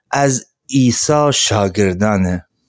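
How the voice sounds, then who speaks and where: A man talks at a very slow pace. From Gilan, northern Iran. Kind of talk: sermon.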